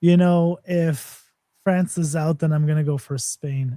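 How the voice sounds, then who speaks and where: In a very clean recording with a silent background, a man with a fairly high pitch speaks in a dark, mellow tone that is somewhat breathy. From Canada. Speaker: crypto project representative. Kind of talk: live stream AMA chat.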